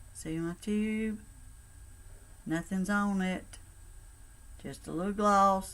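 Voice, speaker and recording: With a Southern US accent, a woman at medium pitch speaks at a very slow pace, her intonation fairly even and broken by long, frequent pauses. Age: 60s. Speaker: cosmetics sales consultant. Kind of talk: makeup tutorial. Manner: casual, chatty.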